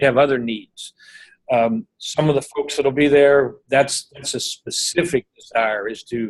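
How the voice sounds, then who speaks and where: The man's voice is fairly high and moves at a fairly slow pace with ordinary pitch variation. The sound is dry and close with no echo. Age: 60s. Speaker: financial advisor and event organizer. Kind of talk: teleseminar discussion. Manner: halting with many fillers and repetitions.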